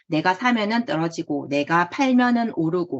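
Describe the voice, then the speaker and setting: Speaking with a strong Gyeongsang accent, a woman talks at a fairly slow pace in a medium pitch. Her pitch swings very widely. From Gyeongsang province, South Korea. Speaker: online trading course instructor. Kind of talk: online lecture. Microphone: checking for echo.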